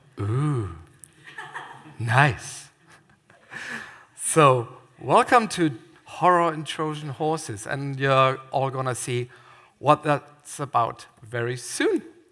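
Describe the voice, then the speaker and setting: With a German accent, a man speaks at a very slow pace and fairly high pitch, his bright, sharp tone showing ordinary pitch variation between long, frequent pauses. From Germany. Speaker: theme park scare attraction designer. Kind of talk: conference talk. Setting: stage with audience.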